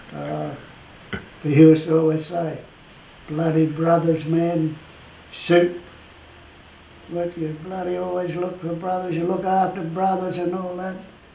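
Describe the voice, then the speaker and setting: With an Australian accent, a man speaks at a high pitch and a fairly slow pace, his monotone, flat delivery broken by long, frequent pauses, with light background noise and audible room echo. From Australia, Cairns, Queensland; Queensland, Australia. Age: 80s+. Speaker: retired rugby league player and referee. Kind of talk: interview answer, reminiscing. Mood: amused, fond. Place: home room.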